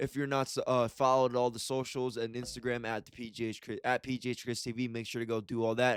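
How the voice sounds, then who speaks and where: Recorded very cleanly with a silent background and a dry, close sound with no echo, a man speaks fairly quickly at medium pitch with monotone, flat intonation. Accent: American. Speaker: sports YouTuber. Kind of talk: casual sports vlog.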